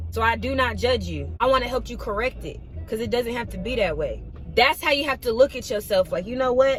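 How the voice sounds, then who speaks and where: A woman speaking at a fairly quick pace over noticeable background noise. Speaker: vlogger. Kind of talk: motivational talk to camera. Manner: fast; animated.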